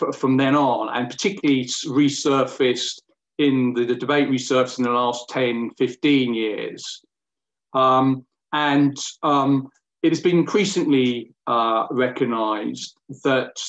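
A man at a fairly slow pace, fairly even in intonation, over a quiet background. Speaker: law professor. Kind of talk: lecture. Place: home room. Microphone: video call.

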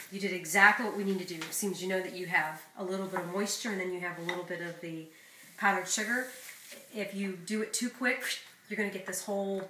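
Light background noise and audible room echo accompany a woman speaking at a fairly quick pace with fairly even intonation. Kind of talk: cooking tutorial chat. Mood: warm, encouraging. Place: kitchen. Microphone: camera far.

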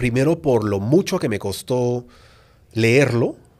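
A man talks with pitch that rises and falls in an ordinary way, and the background stays quiet. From Peru. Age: 30s. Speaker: YouTuber and author; podcast guest. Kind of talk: interview. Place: studio. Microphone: studio mic.

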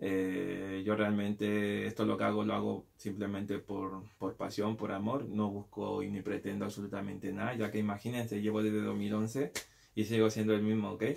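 With light background noise behind him, a man talks at a moderate pace, his fairly low pitch delivered in a monotone, flat intonation. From Peru. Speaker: street dancer and video creator. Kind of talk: casual vlog to viewers. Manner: hesitant, with fillers and repetitions. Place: home room. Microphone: webcam.

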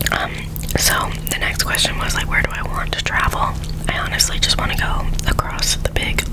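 A woman speaks with long, frequent pauses over loud background noise. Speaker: ASMR creator. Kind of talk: ASMR Q&A rambling. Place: home room. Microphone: studio mic.

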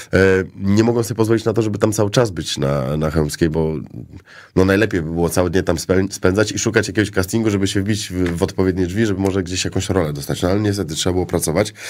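Speaking very fast, a man uses ordinary pitch variation. His voice is very deep and low. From Poland, Szczecin; Poland. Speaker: actor. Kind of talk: casual chat. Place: studio. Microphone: studio mic.

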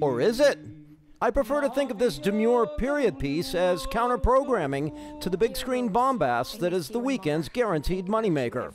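Over music in the background, a man with a high-pitched voice talks at a moderate pace with very wide pitch swings. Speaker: entertainment reporter. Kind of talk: entertainment news voice-over.

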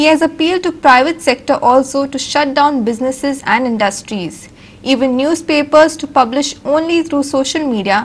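The speaker is a woman with a high-pitched voice. Her pitch varies in an ordinary way. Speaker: news anchor. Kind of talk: newsreading. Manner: steady, formal, headline-style delivery. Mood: formal, neutral. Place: studio.

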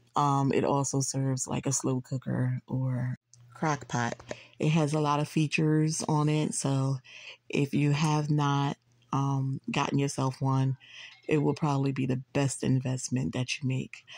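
A woman speaks fairly slowly in a very deep, low, monotone voice with flat intonation. Her loudness stays very even, the sound is dry with no echo, and the background is quiet. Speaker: home cook vlogger. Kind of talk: casual cooking tutorial. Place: kitchen. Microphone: phone near.

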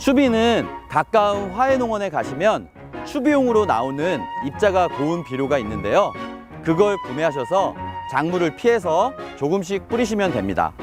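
Moderately paced talk over background music. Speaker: urban farming instructor. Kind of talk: casual instructional talk to camera. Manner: friendly, conversational.

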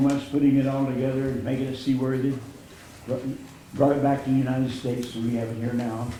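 This man talks in a flat monotone over noticeable background noise, with audible room echo. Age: 90s. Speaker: war veteran. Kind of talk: speaking at a council meeting.

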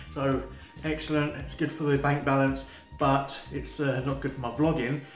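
Fairly high-pitched, a man talks with a monotone, flat intonation. There is audible room echo and faint music in the background. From UK. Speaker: vlogger. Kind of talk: casual talk to camera. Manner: fast. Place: home room. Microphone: phone near.

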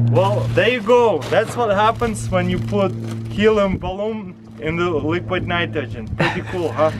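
A man talks at a fairly slow pace in a Russian accent, with very wide pitch swings. Noticeable background noise runs underneath. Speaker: science experiment host. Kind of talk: casual talk to camera. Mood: upbeat, amused. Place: street.

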